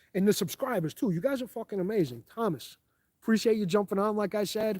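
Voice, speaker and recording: A man with a strong New York accent speaks at a very fast pace in a high pitch, with an animated tone and ordinary pitch variation. The sound is dry and close with no echo, in a very clean recording with a silent background. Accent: thick New York. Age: 40s. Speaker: firearms YouTuber. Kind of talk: live stream chat. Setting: outdoors in the woods, live stream.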